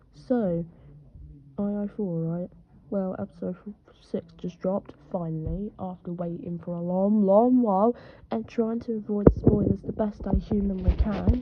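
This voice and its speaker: Noticeable background noise runs under a woman's medium-pitched voice. Her loudness swings a lot while her pitch varies in an ordinary way. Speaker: streamer reacting to cartoon episode. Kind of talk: live reaction stream. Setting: at a friend's house. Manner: animated; quiet.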